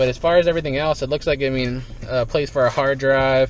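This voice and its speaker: A man talks at a fairly quick pace with fairly even intonation. The sound is dry with no echo, over light background noise. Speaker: dumpster diving vlogger. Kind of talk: casual vlog chat. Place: car. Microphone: phone near.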